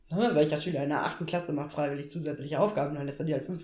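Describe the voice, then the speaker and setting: Audible room echo surrounds a woman's very deep, low-pitched voice. She uses ordinary pitch variation. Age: 30s. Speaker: trained teacher on parental leave. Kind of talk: casual chat.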